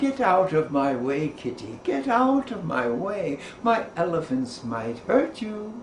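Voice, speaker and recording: Over clear background noise, a man uses a put-on character voice with a high pitch, very wide pitch swings and a fairly slow pace. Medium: read story. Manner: kindly.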